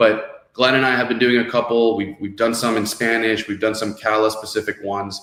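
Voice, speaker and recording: A man at a very fast pace, medium in pitch, with a Miami accent. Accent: Miami American English. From US, Miami (born in Venezuela). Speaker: podcast host, real estate executive. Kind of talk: webinar show hosting.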